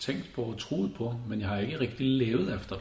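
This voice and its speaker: A man speaks at a medium pitch and moderate pace with ordinary pitch variation. Room echo is audible around him. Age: 40s. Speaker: lay preacher. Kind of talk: sermon. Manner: halting.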